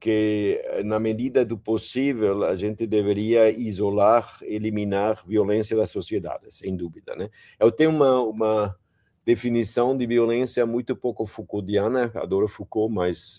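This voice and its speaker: A man's fairly low, dark, mellow voice at a fairly slow pace, fairly even in intonation, on a very clean recording with a silent background. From Germany. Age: 70s. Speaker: professor. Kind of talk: interview. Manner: halting.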